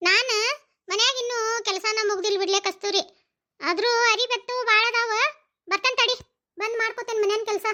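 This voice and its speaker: Doing a cartoonish character voice, a woman speaks at an extremely high pitch and a moderate pace with fairly even intonation. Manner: blunt, scolding.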